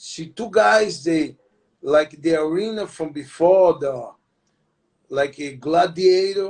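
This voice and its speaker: A man with a Brazilian accent and a high pitch talks at a very slow pace, leaving long, frequent pauses. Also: ordinary pitch variation. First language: Portuguese. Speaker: retired MMA fighter and jiu-jitsu instructor. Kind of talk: interview. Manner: halting.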